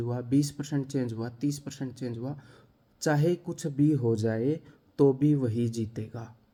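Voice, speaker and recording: At a fairly slow pace, a man talks. His voice is somewhat breathy, with a dark, mellow tone. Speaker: maths teacher for exam coaching. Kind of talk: talk to camera. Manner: animated.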